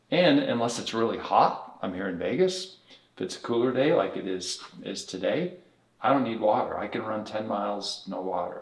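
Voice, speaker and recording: A man speaks at a fairly quick pace, and audible room echo follows his words. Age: 60s. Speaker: chiropractor and technique director. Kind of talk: interview.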